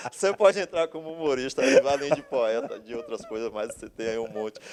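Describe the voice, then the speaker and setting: This man's intonation is lively, and his pace is moderate. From Brazil, Bahia (Camaçari). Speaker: architect, artist and writer. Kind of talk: casual interview conversation. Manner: animated.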